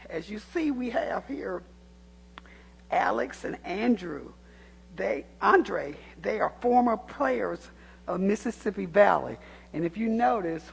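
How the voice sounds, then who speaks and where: A woman talks very slowly in a Southern US accent. Long pauses come often. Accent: US South. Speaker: community activist speaking at public comment. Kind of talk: public comment speech. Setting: city council chamber.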